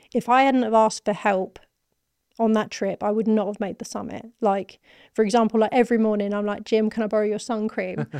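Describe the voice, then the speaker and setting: The delivery is monotone and flat, at a fairly quick pace. The background is quiet. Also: woman, fairly high pitch for a woman. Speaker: marketing manager. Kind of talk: casual interview.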